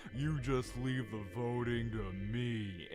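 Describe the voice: Over loud background noise, a man uses a put-on character voice at a medium pitch and a very slow pace.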